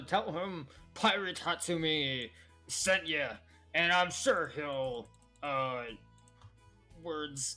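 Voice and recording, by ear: A put-on character voice at a middle pitch, very slow, with long, frequent pauses and faint music in the background.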